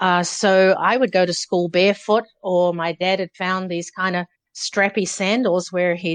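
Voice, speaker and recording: The speaker has a New Zealand accent and talks at a moderate pace. The sound is dry and close with no echo, and the background is quiet. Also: woman. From New Zealand, Auckland. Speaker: former professional distance runner. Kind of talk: interview storytelling.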